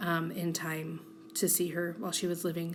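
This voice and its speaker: A woman with a fairly low pitch talks in a monotone, flat intonation, and audible room echo surrounds her voice. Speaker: journaling vlogger. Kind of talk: casual voiceover chat.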